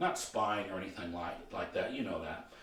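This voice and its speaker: Audible room echo surrounds a man's voice. Noticeable background noise is present too. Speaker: motivational coach and trainer. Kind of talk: training video lecture. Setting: filmed training video. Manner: slow.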